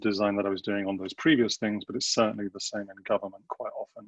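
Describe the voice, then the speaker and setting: Very fast delivery with hardly any pauses and big swings in loudness, in a dry, close sound with no echo. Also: man. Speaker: designer and government innovation strategist. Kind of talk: online panel talk. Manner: hesitant, many fillers.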